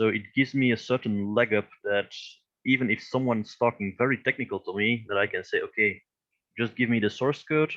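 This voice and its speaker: This man has a non-native accent and a medium pitch. He speaks at a fairly quick pace. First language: not English. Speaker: crypto educator, company founder. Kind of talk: interview. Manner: halting.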